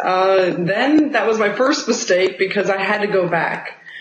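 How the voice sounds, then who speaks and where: A woman's pitch swings very widely as she speaks, with audible room echo and noticeable background noise around her. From United States. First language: Spanish. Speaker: real estate agent. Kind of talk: interview.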